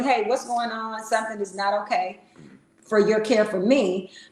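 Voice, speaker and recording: A woman's fairly high-pitched voice. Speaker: relationship podcast co-host. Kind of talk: casual chat. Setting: livestream. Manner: loud.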